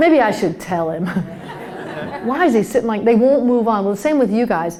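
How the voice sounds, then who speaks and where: Against crowd noise in the background, a woman with an American accent talks fairly quickly at a fairly high pitch, her intonation lively. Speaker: comedian and keynote speaker. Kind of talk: humorous keynote talk to a live conference audience. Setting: live stage with audience. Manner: lively, conversational, comedic timing.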